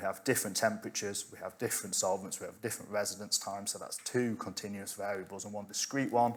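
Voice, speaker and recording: A man talks at a very fast pace. His medium-pitched voice keeps a fairly even intonation. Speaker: chemistry researcher. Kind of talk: conference talk.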